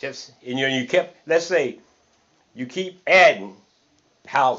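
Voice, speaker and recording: A man with lively intonation at a fairly slow pace. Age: 60s. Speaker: interviewee, cleaner. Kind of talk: casual chat. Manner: repetitive, halting with restarts.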